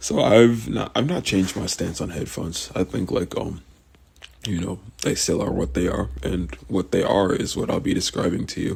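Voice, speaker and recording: At a moderate pace, the voice carries vocal fry throughout. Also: man. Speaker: vlogger. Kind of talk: casual monologue. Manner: rambling, halting with fillers.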